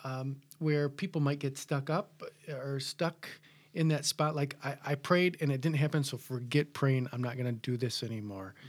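A man talks at a moderate pace in a normal speaking voice, pitched fairly high with ordinary pitch variation and a General American accent. The recording is very clean, with a silent background. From US Midwest. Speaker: pastor. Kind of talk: casual chat.

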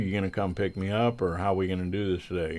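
The speaker is a man. His pitch is very deep and low. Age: 60s. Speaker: sound engineer and guitarist. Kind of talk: interview storytelling. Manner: smiling while talking.

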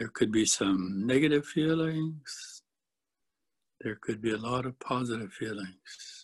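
This speaker talks at a fairly slow pace in a calm, gentle, somewhat breathy tone with ordinary pitch variation. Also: man, medium pitch for a man. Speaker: Satir model trainer. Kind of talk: guided meditation. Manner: slow, calm, gentle; soft-spoken, measured.

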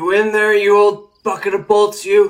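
The speaker uses a put-on character voice with monotone, flat intonation. The pace is moderate. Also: man. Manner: slurred, drunkenly jeering.

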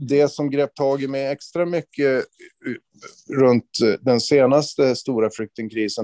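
Very slowly, a man speaks at medium pitch. His tone is dark and mellow. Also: dry, close sound with no echo. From northern Sweden inland (Norrland). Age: 50s. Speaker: police officer and author. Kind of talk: interview. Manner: halting.

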